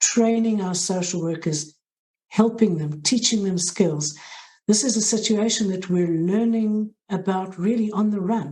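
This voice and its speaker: Speaking with a South African accent, a woman has a dark, mellow tone, somewhat breathy, at medium pitch with ordinary pitch variation and a moderate pace. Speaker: hospital social work head. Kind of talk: interview.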